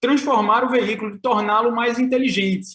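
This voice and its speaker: A man's voice at an extremely high pitch, in a Pernambuco accent. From Brazil, Pernambuco. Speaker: tech company co-founder. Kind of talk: conference presentation. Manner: hesitant, many filler sounds.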